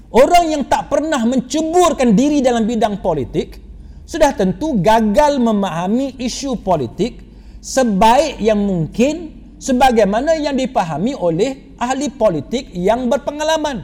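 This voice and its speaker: A man speaks at a fairly slow pace with an extremely high pitch and lively intonation. Noticeable background noise runs behind him. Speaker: Islamic preacher. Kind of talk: religious lecture.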